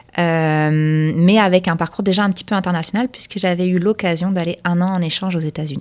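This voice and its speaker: A woman with a fairly low pitch talks at a fairly quick pace, her intonation fairly even and hardly any pauses between words. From France. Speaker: export market development director. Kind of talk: interview.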